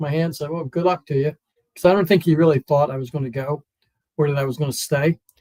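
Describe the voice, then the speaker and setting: A man with a slight East Coast accent, a dark, mellow, somewhat breathy tone, fairly even intonation, and a very fast pace. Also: dry, close sound with no echo. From US East Coast, Wilmington, Delaware. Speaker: comedian and former stuntman. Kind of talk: casual interview chat.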